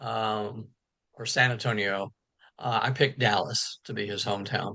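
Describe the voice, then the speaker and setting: In an American accent, a man with a fairly low pitch talks at a moderate pace, his bright, sharp tone marked by vocal fry and big swings in loudness. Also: fairly even intonation. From Texas. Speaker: novelist. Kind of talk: interview. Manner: hesitant, many fillers and repeats.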